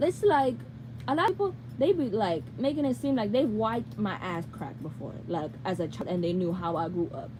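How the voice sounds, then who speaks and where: A woman's fairly low voice at a moderate pace, with very wide pitch swings and noticeable background noise. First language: Spanish. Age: 20s. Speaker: YouTuber. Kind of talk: live Q&A. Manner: casual rambling.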